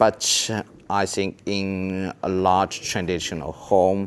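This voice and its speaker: A man speaks with a Chinese accent. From China. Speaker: travel vlogger. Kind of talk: casual walking tour talk to camera.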